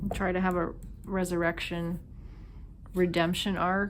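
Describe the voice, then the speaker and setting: A woman's fairly low, monotone, flat voice with a slight Minnesota accent, in audible room echo. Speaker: tarot reader. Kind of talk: intuitive tarot reading. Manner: casual, filler-heavy.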